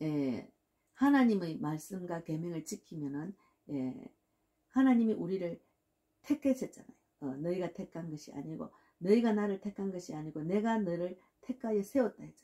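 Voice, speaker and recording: A woman speaks at a moderate pace with a fairly low pitch and a dark, mellow tone. Her pitch swings very widely, her loudness swings a lot, and she leaves long, frequent pauses. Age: 60s. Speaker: pastor. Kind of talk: sermon. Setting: at home.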